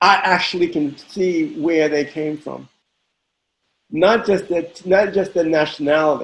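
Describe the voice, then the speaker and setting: This man talks at a fairly slow pace in a voice pitched high for a man. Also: ordinary pitch variation. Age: 60s. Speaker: house dancer. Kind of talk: interview. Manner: halting, many repetitions.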